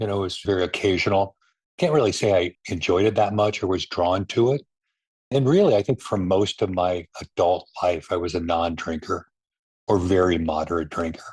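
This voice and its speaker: A man speaks at a fairly low pitch and a fairly quick pace in a somewhat breathy voice with ordinary pitch variation, in a dry, close sound with no echo and a quiet background. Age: 60s. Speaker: restaurant executive in recovery. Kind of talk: personal testimony interview.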